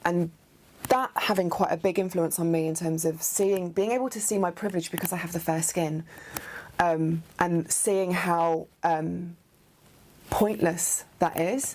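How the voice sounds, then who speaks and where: With an English Midlands accent, a woman talks at a fairly low pitch and a fairly slow pace, her intonation fairly even. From English Midlands (Nuneaton, near Coventry). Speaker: theatre artist. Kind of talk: interview monologue about identity. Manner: hesitant, many fillers.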